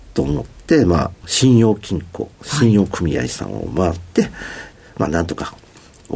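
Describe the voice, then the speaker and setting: Very deep and low in pitch, a man speaks with lively intonation. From Osaka, Japan (Nishiyodogawa). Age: 50s. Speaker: company CEO. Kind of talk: interview. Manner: formal; filler-heavy, hesitant.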